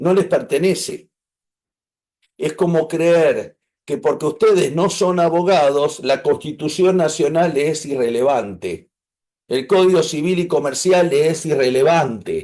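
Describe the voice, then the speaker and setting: A man with a high-pitched voice and a dark, mellow tone, with an Argentine accent, ordinary pitch variation, very even loudness, a fairly slow pace and a quiet background. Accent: Argentine Spanish (Rioplatense). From Argentina. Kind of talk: online class.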